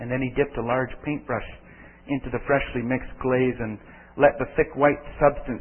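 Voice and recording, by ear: The clip is read aloud in a natural voice with fairly even intonation.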